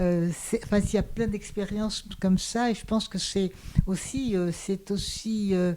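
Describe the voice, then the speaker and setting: Here is a woman with a dark, mellow tone and medium pitch. She talks at a fairly slow pace with fairly even intonation. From Hungary, raised in France. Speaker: sociologist and philosopher. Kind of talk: small-group discussion. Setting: small in-person gathering. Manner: halting, many repetitions.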